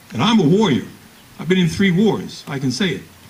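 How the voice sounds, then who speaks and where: A man talks at a moderate pace with an American accent. Noticeable background noise runs under his voice. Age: 80s+. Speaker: retired Air Force colonel, war veteran. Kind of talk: Memorial Day speech.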